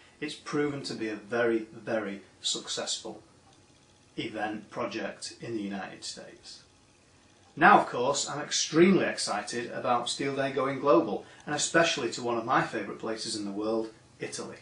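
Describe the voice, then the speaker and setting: In an American accent, a man talks at a moderate pace and a medium pitch with ordinary pitch variation. Audible room echo surrounds his voice. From northern England, Manchester. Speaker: steel industry association director. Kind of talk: prepared video greeting.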